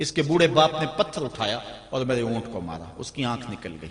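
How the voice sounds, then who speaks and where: A passionate tone from a man at medium pitch, over noticeable background noise. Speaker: Islamic preacher giving a sermon. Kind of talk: religious sermon (bayan) delivered to an audience. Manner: passionate, storytelling preacher style.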